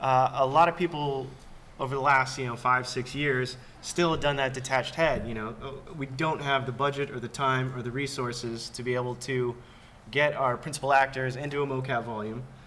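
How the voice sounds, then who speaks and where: A man speaks in a Californian accent with a bright, sharp tone. His pace is fairly quick and his intonation monotone and flat. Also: medium pitch for a man. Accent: Californian American. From Los Angeles. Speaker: performance capture supervisor. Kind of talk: panel discussion.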